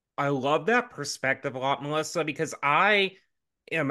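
A man with an American accent, lively intonation and a bright, sharp tone, at a moderate pace over a quiet background. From US South. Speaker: podcast co-host, marketing consultant. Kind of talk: casual interview chat.

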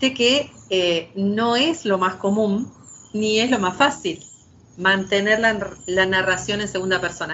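A woman talks with an Argentine accent at a medium pitch with ordinary pitch variation. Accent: Argentine Spanish (Rioplatense, voseo). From Argentina. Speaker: poet and novelist. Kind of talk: interview conversation. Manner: hesitant, many fillers and repetitions.

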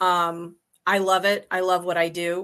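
Against a quiet background, a woman with a bright, sharp tone speaks fairly slowly in a flat monotone. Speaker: direct sales consultant. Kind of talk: personal testimony. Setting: video call.

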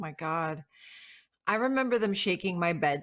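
A woman speaks in a normal speaking voice, fairly low and with lively intonation. The recording is very clean, with a silent background. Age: 50s. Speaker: psychic medium. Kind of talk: casual chat.

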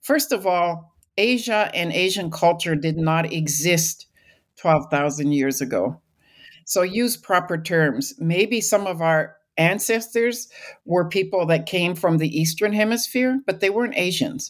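With a Canadian accent, a woman speaks in a normal speaking voice, fairly low in pitch, with lively intonation. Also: fairly slow pace, very clean recording, silent background. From British Columbia, Canada. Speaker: archaeologist and sociology professor. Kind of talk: interview.

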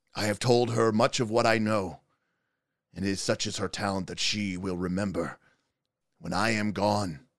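In a put-on character voice that is raspy, the speaker goes at a moderate pace with long, frequent pauses and fairly even intonation, on a very clean recording with a silent background. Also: man, fairly low pitch for a man. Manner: solemn, halting.

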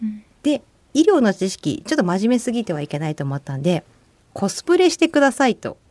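In a dry, close sound with no echo, a woman talks at a fairly quick pace with a fairly high pitch and very wide pitch swings. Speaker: nurse and men's health educator. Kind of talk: radio interview.

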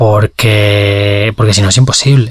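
Slightly breathy, a man speaks with monotone, flat intonation. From Valencia, Spain. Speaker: journalist. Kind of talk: interview. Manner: halting, many repetitions and fillers.

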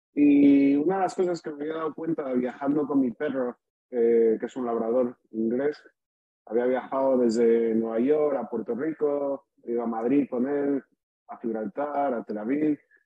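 A man talks in a plain, everyday voice at a medium pitch. His pace is fairly slow and his intonation fairly even. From Spain. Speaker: startup founder, venture capitalist. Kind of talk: pitch interview.

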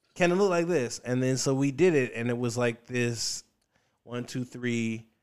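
A man with an American accent speaks at a moderate pace in a medium-pitched voice, a normal speaking voice. The recording is very clean, with a silent background. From US South, Richmond, Virginia. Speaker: stand-up comedian. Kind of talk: casual chat.

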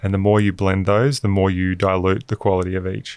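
Speaking with an Australian accent, a man talks fairly quickly in a fairly low voice on a very clean recording with a silent background. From Queensland, Australia. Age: 30s. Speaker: venture investor. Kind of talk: podcast interview.

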